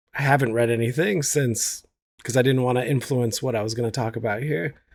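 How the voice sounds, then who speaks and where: A man with an ordinary speaking voice talks at a fairly quick pace, at a medium pitch with ordinary pitch variation. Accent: American. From United States, Iranian family. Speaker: TV writer. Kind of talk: casual chat.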